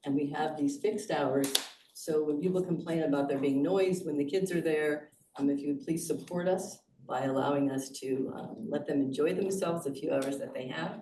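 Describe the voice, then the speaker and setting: A woman with a very deep, low voice is heard in a room with audible echo. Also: ordinary pitch variation, moderate pace. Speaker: resident speaking at public comment. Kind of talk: public comment at committee meeting. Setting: boardroom meeting.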